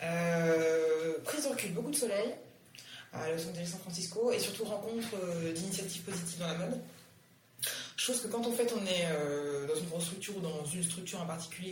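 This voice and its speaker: A woman's fairly low voice at a fairly quick pace, with ordinary pitch variation, audible room echo and music in the background. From Liberia. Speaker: fashion entrepreneur. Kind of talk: interview. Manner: hesitant, many fillers.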